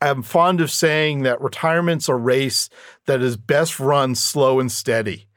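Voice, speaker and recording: A man with an ordinary speaking voice at medium pitch, fairly slow, with ordinary pitch variation, on a very clean recording with a silent background. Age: 50s. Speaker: retirement expert. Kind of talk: interview.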